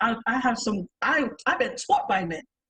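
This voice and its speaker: A woman's animated tone at a moderate pace. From New York. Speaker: podcast panelist. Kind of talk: panel discussion.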